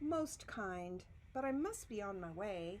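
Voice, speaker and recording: Over clear background noise, a woman uses a put-on character voice at a medium pitch and a fairly slow pace. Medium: read story. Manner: polite, apologetic.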